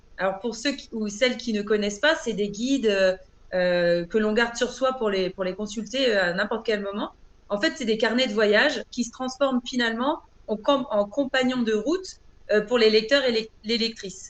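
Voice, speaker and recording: A woman with a fairly high voice talks at a moderate pace with ordinary pitch variation over noticeable background noise. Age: 40s. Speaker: author and trainer. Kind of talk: interview. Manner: hesitant, many fillers.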